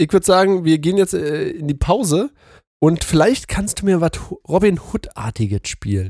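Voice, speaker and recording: Lively intonation marks this man's moderate-paced speech, captured with a dry, close sound and no echo. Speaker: podcast co-host. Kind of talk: casual chat.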